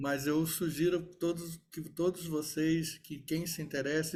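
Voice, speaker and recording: A man is speaking. His pace is very slow. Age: 60s. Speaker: lawyer and event moderator. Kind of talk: panel discussion after a talk.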